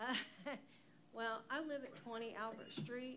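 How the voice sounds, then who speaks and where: Through noticeable background noise and audible room echo, a woman speaks in a fairly high pitch with fairly even intonation. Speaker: resident speaking at public meeting. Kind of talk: public comment. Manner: soft-spoken. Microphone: far from the microphone.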